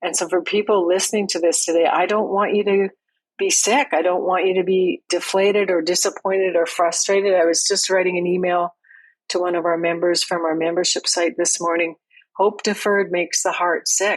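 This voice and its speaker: A woman's medium-pitched voice with a Canadian accent, fairly quick and monotone with flat intonation, at very even loudness. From Canada. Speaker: farm family coach. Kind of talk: podcast interview.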